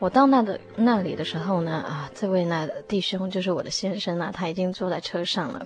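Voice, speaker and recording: Noticeable background noise behind a woman at medium pitch, talking at a fairly quick pace with ordinary pitch variation and hardly any pauses. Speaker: English teacher, church member. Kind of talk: personal testimony interview. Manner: halting, many fillers.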